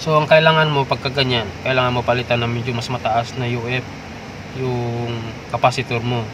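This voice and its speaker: Amid noticeable background noise, a man speaks at medium pitch and a moderate pace. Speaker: DIY repair vlogger. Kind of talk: tutorial. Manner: casual, hesitant with fillers.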